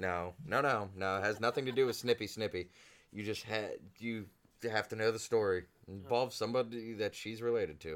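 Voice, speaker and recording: In a very clean recording with a silent background, a man with an American accent talks at a fairly quick pace, his fairly low pitch showing ordinary variation in an unremarkable speaking voice. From Ohio. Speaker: podcast co-host. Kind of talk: casual chat.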